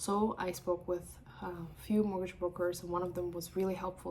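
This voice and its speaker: A woman speaks over noticeable background noise. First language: not English; English is third language. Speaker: mortgage broker. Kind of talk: personal vlog. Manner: animated.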